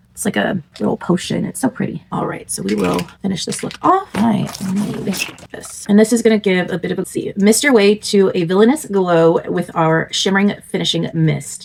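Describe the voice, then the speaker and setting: Moderate pace against noticeable background noise. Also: woman, hardly any pauses. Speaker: beauty vlogger. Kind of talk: makeup tutorial chat.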